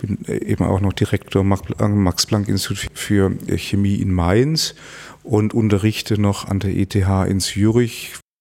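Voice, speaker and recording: Here a man talks slowly, his pitch fairly low. His intonation stays fairly even. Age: 50s. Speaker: climate scientist and academy president. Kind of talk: interview. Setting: office. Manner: halting, many fillers and repetitions.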